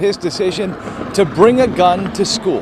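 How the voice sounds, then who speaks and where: Noticeable noise sits in the background. Through it, a man talks with ordinary pitch movement. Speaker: TV news reporter. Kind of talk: news reporting montage.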